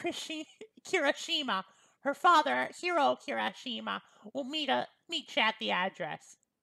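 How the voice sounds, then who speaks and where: A female-sounding voice uses a high-pitched put-on character voice at a moderate pace. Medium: read story. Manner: casual, polite, starts sentences with well.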